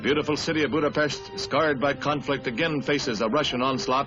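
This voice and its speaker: Over music in the background, a man speaks very fast in a dramatic tone. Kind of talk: newsreel narration. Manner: dramatic, urgent.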